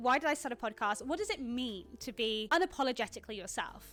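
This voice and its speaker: A woman races along at a very fast pace in a high, bright, sharp voice. Her tone is animated and her intonation lively. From England. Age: 20s. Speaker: podcast host. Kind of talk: casual chat. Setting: home studio on a couch.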